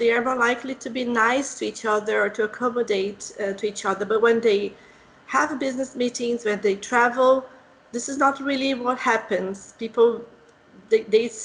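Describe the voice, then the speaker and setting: Speaking at a moderate pace in a Portuguese accent, a woman keeps her intonation fairly even at a fairly high pitch. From Brazil. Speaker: English teacher, interviewer. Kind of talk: interview.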